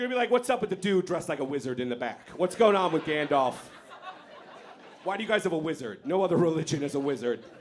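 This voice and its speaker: A high-pitched man talks very fast, his pitch swinging very widely. Noticeable background noise runs behind him. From born in Iran, grew up in America from age eight. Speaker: stand-up comedian. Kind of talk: stand-up. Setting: stage with audience.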